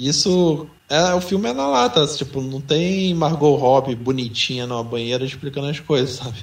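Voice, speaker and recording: Hardly any pauses break the speech, which carries audible room echo. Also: man, fairly high pitch for a man, ordinary pitch variation, moderate pace. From São Paulo, Brazil. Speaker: podcast co-host. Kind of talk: casual chat.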